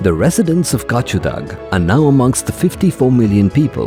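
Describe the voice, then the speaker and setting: A man at a moderate pace, his pitch swinging very widely, with music in the background. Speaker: voice actor. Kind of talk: corporate narration.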